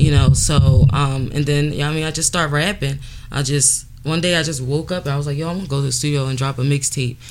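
Very fast speech over noticeable background noise. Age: 30s. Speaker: rapper and entrepreneur. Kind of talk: casual interview chat.

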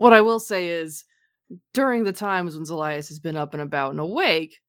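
A woman's animated voice, lively in intonation, at a fairly quick pace. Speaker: tabletop game player. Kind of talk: casual tabletop game banter. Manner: jokey, animated.

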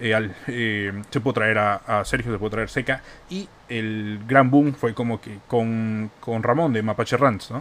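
An unremarkable speaking voice from a man: medium pitch, fairly even intonation, fairly slow pace. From Peru, Iquitos. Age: 20s. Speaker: youtuber and podcaster. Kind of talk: solo monologue podcast. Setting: home bedroom studio.

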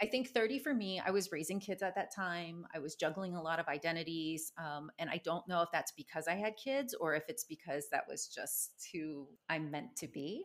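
With a normal speaking voice, a woman talks at a moderate pace with hardly any pauses, her fairly low pitch carried by lively intonation. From United States. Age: 40s. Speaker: magazine founder, writer. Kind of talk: casual interview chat.

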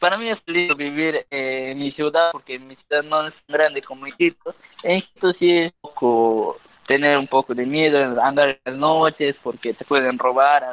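A plain, everyday voice from a man, fairly high in pitch, with ordinary pitch variation and a fairly slow pace. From Peruvian Amazon, Ucayali. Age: 20s. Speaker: university student and cultural content creator. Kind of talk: casual interview.

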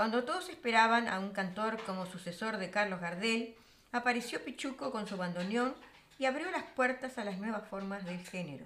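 A woman with an ordinary speaking voice, fairly high in pitch, with lively intonation at a moderate pace. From Uruguay. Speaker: radio show host. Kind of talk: radio music program hosting.

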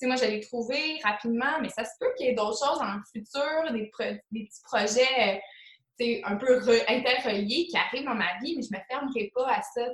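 In a Quebec accent, a woman speaks high at a moderate pace, with ordinary pitch variation and big swings in loudness. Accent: Québécois French. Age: 20s. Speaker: motivation coach in network marketing. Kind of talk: casual interview. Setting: call.

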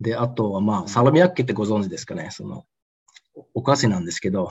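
A man speaks at a fairly quick pace with a fairly low, somewhat breathy voice and long, frequent pauses. His pitch swings very widely and his loudness rises and falls sharply. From Osaka, Japan. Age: 30s. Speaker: entrepreneur. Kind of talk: interview.

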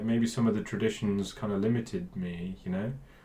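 Speaking with a Bristol accent, a man uses a medium pitch and a moderate pace. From England, Bristol area. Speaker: DJ and music producer. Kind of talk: casual interview chat. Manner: hesitant, many fillers.

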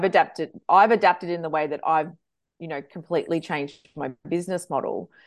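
Against a quiet background, a woman with an Australian accent speaks at a fairly quick pace. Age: 40s. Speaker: social media manager. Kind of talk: interview.

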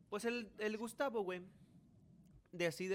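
A man speaks with a Mexican accent. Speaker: podcast host. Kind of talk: casual chat.

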